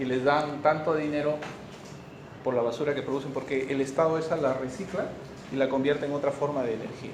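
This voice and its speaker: A man speaks at a fairly quick pace and fairly high pitch. Noticeable background noise and audible room echo fill the recording. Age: 60s. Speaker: medical school lecturer. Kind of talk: lecture.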